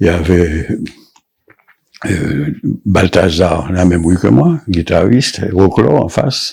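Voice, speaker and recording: A man speaks in a very deep, low voice at a very slow pace, with ordinary pitch variation, very even loudness and long, frequent pauses. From Guadeloupe, Pointe-à-Pitre. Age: 70s. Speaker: painter. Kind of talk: interview. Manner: halting.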